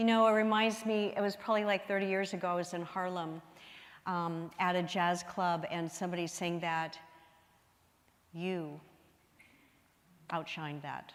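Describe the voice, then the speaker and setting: At a moderate pace with fairly even intonation and long, frequent pauses, the voice comes with audible room echo. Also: woman, fairly low pitch for a woman. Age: 70s. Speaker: minister. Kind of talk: sermon.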